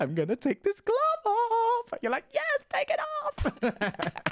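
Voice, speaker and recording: A man's voice, dry and close with no echo, over noticeable background noise. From Essex, England. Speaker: drag performer. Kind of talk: casual interview chat. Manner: animated.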